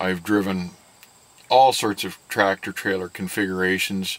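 Fairly even intonation from a man at a moderate pace, his pitch fairly low. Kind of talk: interview answer. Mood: calm, candid. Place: car.

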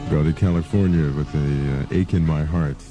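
A man with a very deep, low pitch and fairly even intonation, dry with no echo, faint music in the background. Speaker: radio DJ. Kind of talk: rock radio DJ patter. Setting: radio broadcast. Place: studio. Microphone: old recording.

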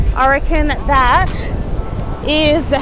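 A woman's voice, dry with no echo, with clear music in the background. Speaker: vlogger. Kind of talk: casual vlog chat. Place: beach. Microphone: phone near.

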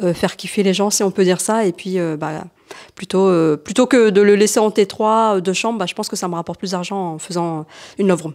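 The voice shows ordinary pitch variation. The background is quiet. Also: woman. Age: 30s. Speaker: short-term rental subletting entrepreneur, mother of two; short-term rental host. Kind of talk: casual interview and apartment tour. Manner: hesitant, many fillers. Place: home room. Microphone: handheld.

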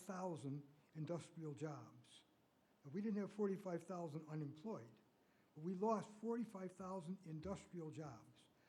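Speaking with an American accent, a man has a high pitch for a man and ordinary pitch variation at a moderate pace. Audible room echo surrounds his voice. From US Midwest. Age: 80s+. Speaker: public commenter. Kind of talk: public comment at council meeting. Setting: city council meeting.

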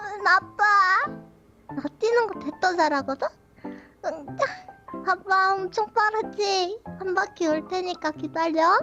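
Over faint music in the background, someone does a put-on character voice at an extremely high pitch and a fairly slow pace. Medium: dub. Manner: cute.

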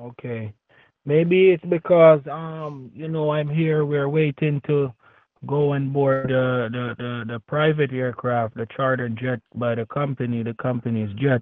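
With a plain, everyday voice, a man speaks at a fairly slow pace in a medium pitch with ordinary pitch variation. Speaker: phone scammer. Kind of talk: scam phone call. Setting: phone call.

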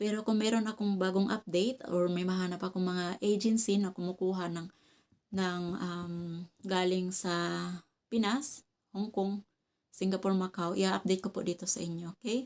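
In a very clean recording with a silent background, a woman speaks at a medium pitch and moderate pace with fairly even intonation. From Visayas, Philippines. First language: Cebuano (Bisaya) (speaking Tagalog). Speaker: vlogger. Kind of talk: casual vlog talk to camera. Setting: at home.

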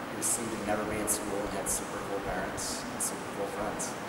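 A man with an American accent speaks at a fairly quick pace amid loud background noise and audible room echo. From US Midwest (Omaha, Nebraska). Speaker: hockey camp counselor and strength coach. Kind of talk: casual interview answers. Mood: cheerful, joking. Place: gym.

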